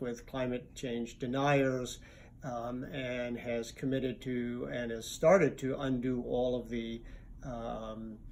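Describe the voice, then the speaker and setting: A man's monotone, flat voice with audible room echo. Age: 60s. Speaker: environmental advocacy lawyer. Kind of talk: interview. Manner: hesitant, many fillers.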